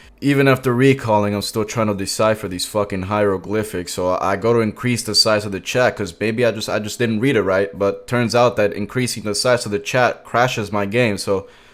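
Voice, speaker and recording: His intonation is fairly even. The man talks in a Spanish accent. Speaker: gaming YouTuber. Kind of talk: gameplay commentary. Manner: casual, comedic storytelling.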